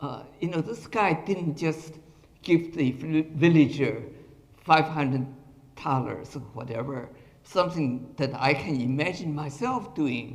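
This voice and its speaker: Amid audible room echo, a man with a fairly high, somewhat breathy voice speaks at a fairly slow pace with ordinary pitch variation. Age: 80s+. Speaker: retired professor giving a talk. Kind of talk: lecture.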